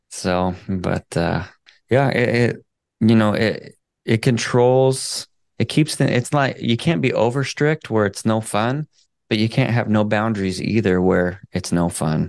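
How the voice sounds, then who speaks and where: A man speaks in an ordinary speaking voice at medium pitch and a fairly slow pace, with ordinary pitch variation. The loudness stays very even in a very clean recording, silent background. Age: 40s. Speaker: pastor and podcast co-host. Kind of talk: casual chat.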